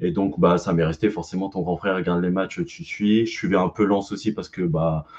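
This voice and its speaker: In a quiet setting, a man with a very deep, low pitch talks at a fairly quick pace with ordinary pitch variation. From northern France (Pas-de-Calais), teens in Corsica. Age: 30s. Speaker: nurse. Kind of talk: casual chat. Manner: hesitant, many fillers.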